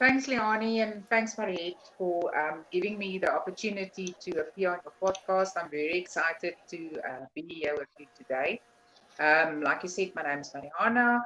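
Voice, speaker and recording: A woman speaks at a moderate pace with lively intonation. Her pitch sits in the medium range. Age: 40s. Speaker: crochet designer. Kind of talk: casual chat. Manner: hesitant, many fillers.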